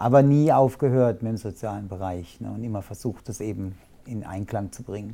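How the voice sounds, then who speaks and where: At a moderate pace, a man speaks with a dark, mellow tone and a fairly low pitch, using ordinary pitch variation and big swings in loudness. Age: 50s. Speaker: inclusion coach. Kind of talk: casual interview.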